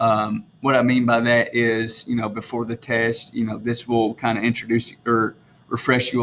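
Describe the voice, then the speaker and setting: At a moderate pace and with hardly any pauses, the speaker talks with a strong Southern US accent. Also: man. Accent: strong rural Southern, self-described country. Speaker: teacher. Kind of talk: recorded lesson video for students. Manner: casual with many fillers.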